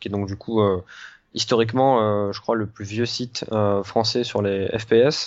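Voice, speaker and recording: Fairly low in pitch, a man talks at a fairly slow pace in a monotone, flat delivery. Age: 20s. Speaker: video game journalist. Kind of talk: casual interview.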